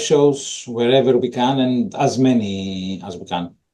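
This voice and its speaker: A man speaks with a Greek accent. His tone is dark and mellow. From Greece. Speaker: metal drummer. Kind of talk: casual interview.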